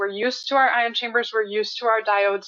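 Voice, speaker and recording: A woman speaks at a very fast pace. Her pitch sits fairly high. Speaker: medical physicist presenting a webinar. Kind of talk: webinar presentation with Q&A. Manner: hesitant, many fillers.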